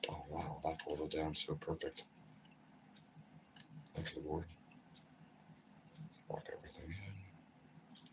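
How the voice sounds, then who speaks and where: Mumbling in a put-on character voice, a man talks at a fairly slow pace. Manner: mumbling, talking to himself.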